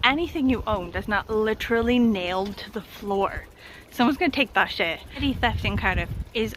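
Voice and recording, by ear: Here someone is reading aloud in a natural voice.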